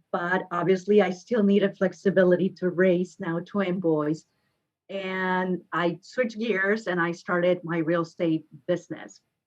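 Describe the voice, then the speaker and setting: Speaking with a Mexican accent, a woman keeps a medium pitch in a flat monotone at a fairly slow pace. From Mexico, Guadalajara. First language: Spanish. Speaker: realtor. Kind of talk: podcast interview.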